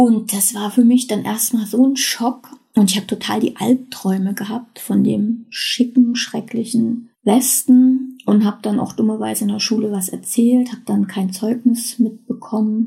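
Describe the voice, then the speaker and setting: A woman with a fairly high, somewhat breathy voice and a dark, mellow tone speaks fairly slowly in a flat monotone, with hardly any pauses. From East Germany, then West Germany from age eight. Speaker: podcast contributor sharing personal story. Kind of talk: personal testimony.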